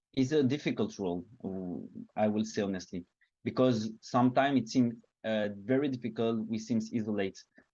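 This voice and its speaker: Pausing long and often, a man talks at a fairly quick pace in a medium pitch, with fairly even intonation and a dark, mellow tone. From Belgium, Liège. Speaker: activist. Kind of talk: online seminar talk. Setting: online seminar. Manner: halting, many fillers.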